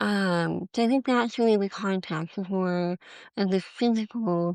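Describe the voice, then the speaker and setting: A woman talks with fairly even intonation against a quiet background. The sound is dry and close with no echo. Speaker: intuitive life coach and author. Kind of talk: interview answer.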